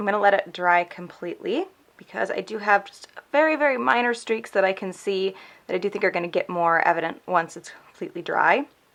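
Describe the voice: A woman puts on a raspy, mumbling character voice at a medium pitch, with lively intonation. She talks at a fairly quick pace, her loudness swinging widely.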